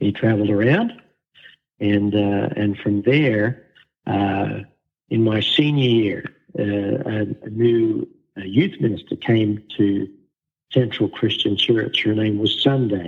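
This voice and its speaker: A man's fairly low, fairly even voice with an Australian accent, very slow, with long, frequent pauses. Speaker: pastor. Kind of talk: interview.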